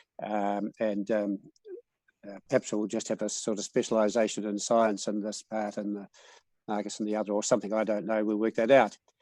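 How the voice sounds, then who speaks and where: A fairly quick, monotone delivery with flat intonation and a New Zealand accent, in a dry, close sound with no echo. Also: man, fairly low pitch for a man. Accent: New Zealand, noticeable. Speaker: cycles researcher. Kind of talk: presentation. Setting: video call. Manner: halting, many fillers.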